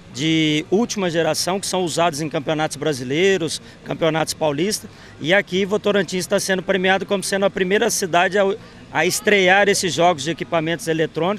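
Light background noise sits behind a man talking fairly quickly in a high voice with ordinary pitch variation, in a dry sound with no echo. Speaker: PE teacher. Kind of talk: interview answer. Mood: calm, informative. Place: waterside. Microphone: handheld.

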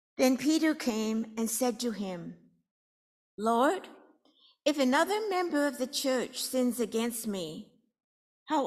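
A woman's fairly high voice with lively intonation at a slow pace

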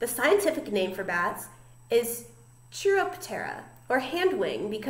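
Someone does plain reading aloud. That is the whole clip.

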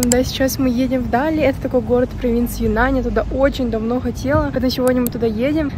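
With a high voice and fairly even intonation, a woman talks at a very fast pace. Noticeable background noise runs through the clip. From Buryatia, Russia. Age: 20s. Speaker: student in China, vlogger. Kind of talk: casual travel vlog talk to camera.

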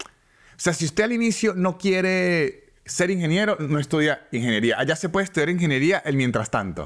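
This man's voice sits high in pitch and moves with lively intonation. He keeps a moderate pace with hardly any pauses. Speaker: stand-up comedian. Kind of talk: casual chat.

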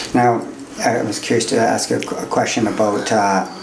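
Over light background noise and audible room echo, a man with a Canadian accent speaks at a medium pitch with fairly even intonation. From Canada (northwestern Ontario). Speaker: podcast host and youth counselor; podcast host. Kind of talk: casual interview. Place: studio.

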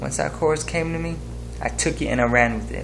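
Music runs behind a man who speaks at a moderate pace. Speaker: music maker vlogger. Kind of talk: casual vlog chat. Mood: happy, excited. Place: home room. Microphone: webcam.

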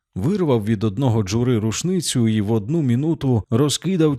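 Here a natural reading voice carries the text.

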